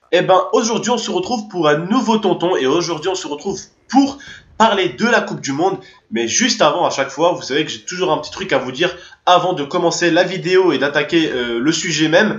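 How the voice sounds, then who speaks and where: Against a quiet background with audible room echo, a high-pitched man speaks at a fairly quick pace. His tone is animated, with lively intonation. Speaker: YouTuber; gaming youtuber. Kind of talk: casual vlog to subscribers. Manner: fast. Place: home room.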